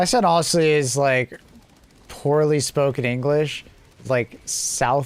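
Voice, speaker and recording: Noticeable background noise sits behind a man speaking at a very slow pace. His pitch is fairly high, with ordinary variation. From Canada. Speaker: gaming livestreamer. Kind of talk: casual chat. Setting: live stream. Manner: animated.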